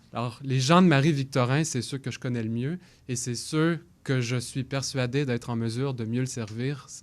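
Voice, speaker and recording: A man's medium-pitched voice, an ordinary speaking voice, at a moderate pace with fairly even intonation, on a very clean recording with a silent background. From Quebec, Longueuil. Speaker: political candidate. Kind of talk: candidate debate statement. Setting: radio studio.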